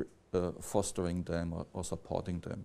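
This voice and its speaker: With a non-native accent, a man speaks at a moderate pace in a dark, mellow tone. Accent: non-native English speaker. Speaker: academic lecturer. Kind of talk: lecture. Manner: halting, many fillers and restarts.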